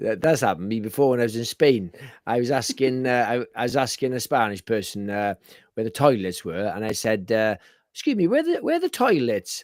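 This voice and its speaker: Man with a Welsh accent, medium pitch, ordinary pitch variation and a fairly quick pace, on a very clean recording against a silent background. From Wales. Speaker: horror film podcast co-host. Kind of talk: casual chat. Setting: live stream.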